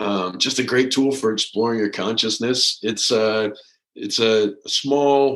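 A man's ordinary speaking voice with an American accent, medium pitch and ordinary pitch variation. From US, military family (Maine, Colorado, North Carolina, Germany). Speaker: float center owner, army veteran. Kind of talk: interview. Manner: casual, relaxed.

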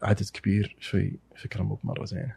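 A man is speaking. His pace is moderate. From Saudi Arabia, Eastern Province with Najran roots. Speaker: anthropology student and writer. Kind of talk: casual conversational interview. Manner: halting, with repetitions and fillers.

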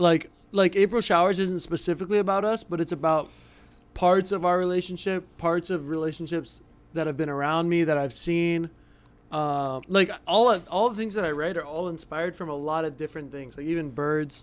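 A man talks at a high pitch and moderate pace with ordinary pitch variation. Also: very clean recording, silent background. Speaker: pro athlete and musician. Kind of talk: casual chat.

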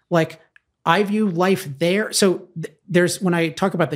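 The speaker is a man. His pitch is high. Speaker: author. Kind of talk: interview.

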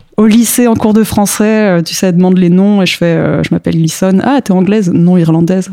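Noticeable background noise sits behind a woman speaking at a medium pitch. She talks at a moderate pace with ordinary pitch variation. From France (grew up there from age 3; born in Mexico). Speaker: comic book author. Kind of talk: casual interview.

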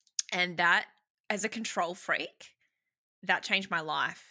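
In an Australian accent, a woman with a fairly low pitch and a bright, sharp tone speaks at a moderate pace on a very clean recording with a silent background. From Sydney, Australia. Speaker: marketing business founder. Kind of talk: casual interview chat.

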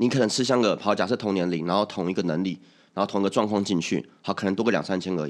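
A man speaks very fast with a quiet background behind him. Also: fairly low pitch for a man, ordinary pitch variation. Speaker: podcast host. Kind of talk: casual chat. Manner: stammering at times.

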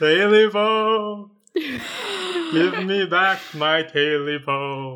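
Someone uses a put-on character voice at a middle pitch. The pace is very slow. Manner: eerie, haunting.

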